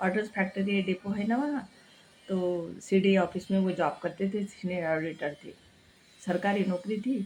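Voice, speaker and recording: In a Marathi accent, a woman speaks at a medium pitch with fairly even intonation. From Maharashtra, India. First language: Marathi (speaking Hindi). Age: 60s. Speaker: cooking and health vlogger. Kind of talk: casual vlog talk. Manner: halting, with many restarts.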